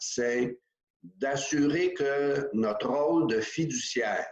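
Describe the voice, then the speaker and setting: This man's voice sits at a medium pitch, with ordinary pitch variation. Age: 60s. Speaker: corporate board director. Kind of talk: interview. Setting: video call.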